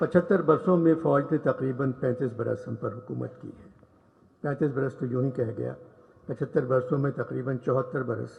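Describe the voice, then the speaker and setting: Speaking at a medium pitch, a man lets vocal fry creep into his voice. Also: ordinary pitch variation. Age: 80s+. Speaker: humorist writer. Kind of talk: public speech at literature festival.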